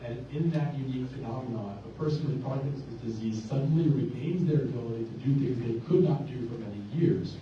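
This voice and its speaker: Room echo and noticeable background noise surround speech delivered at a fairly quick pace with hardly any pauses and ordinary pitch variation. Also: man, medium pitch for a man. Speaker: neurologist. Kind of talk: lecture. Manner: fast; loud. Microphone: cutting out.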